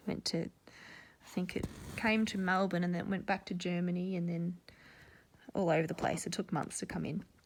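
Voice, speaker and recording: The delivery comes at a moderate pace with an Australian accent. The intonation is monotone and flat. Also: woman, fairly low pitch for a woman. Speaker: cross-stitch vlogger. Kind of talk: casual chat. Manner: rambling, casual with many fillers.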